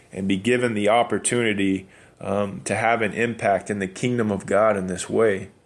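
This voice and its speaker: In an American accent, a man speaks at a moderate pace with a fairly low pitch and fairly even intonation. The recording is very clean, with a silent background. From New Mexico, US. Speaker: abolitionist activist. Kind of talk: personal testimony. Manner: hesitant, many fillers.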